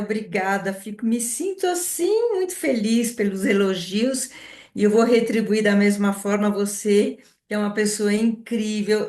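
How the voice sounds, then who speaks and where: A woman speaks at a fairly slow pace with a fairly high pitch. Some room echo can be heard. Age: 60s. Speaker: entrepreneur, essential oils distributor. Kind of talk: online presentation.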